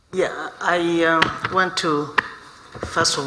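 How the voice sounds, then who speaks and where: A man speaking at a fairly slow pace, with audible room echo and noticeable background noise. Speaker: visiting associate professor, researcher. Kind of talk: conference presentation.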